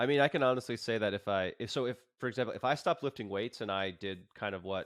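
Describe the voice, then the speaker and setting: This man's medium-pitched voice rushes along at a very fast pace. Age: 30s. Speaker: yoga instructor and podcast host. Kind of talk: casual interview chat.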